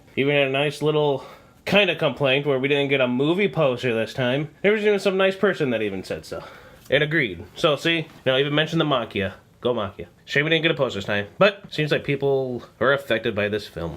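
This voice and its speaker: A man talking at a very fast pace, his pitch fairly high. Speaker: anime reviewer. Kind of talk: video review. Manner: casual, filler words.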